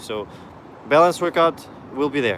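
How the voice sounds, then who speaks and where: A man with a non-native accent talks at a fairly quick pace over noticeable background noise. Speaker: parkour coach and YouTuber. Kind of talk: live stream Q&A. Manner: casual, halting with restarts.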